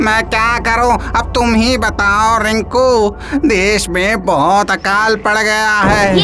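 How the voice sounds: A cartoonish character voice speaks very slowly at a fairly high pitch. Clear background noise runs underneath.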